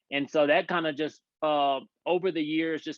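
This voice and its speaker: A man speaks with a strong Louisiana accent. His pitch sits fairly high for a man, and his intonation stays fairly even. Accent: heavy Louisiana country. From Louisiana, small country town. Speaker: former pastor, parenting coach. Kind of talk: podcast interview. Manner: halting, many repeated words.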